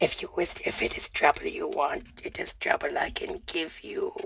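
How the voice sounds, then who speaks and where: The speaker puts on a raspy character voice at an extremely high pitch. The pace is moderate. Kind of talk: archaic, menacing. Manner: threatening.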